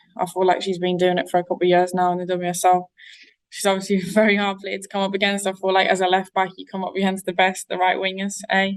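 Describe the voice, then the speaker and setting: Against a quiet background, a woman with a northeast English accent talks at a fairly quick pace, medium in pitch, in a monotone, flat intonation. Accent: north-east English. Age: 20s. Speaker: professional footballer. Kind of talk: interview.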